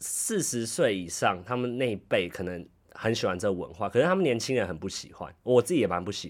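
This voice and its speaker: At a fairly quick pace, a man with a medium pitch talks in very wide pitch swings on a very clean recording with a silent background. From Taiwan. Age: 20s. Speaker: podcast host, office worker in Japan. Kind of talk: casual chat.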